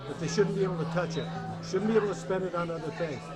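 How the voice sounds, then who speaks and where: Music plays behind a man with a high pitch and fairly even intonation, his voice carrying audible room echo. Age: 60s. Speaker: political candidate. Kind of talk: interview. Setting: cafe event.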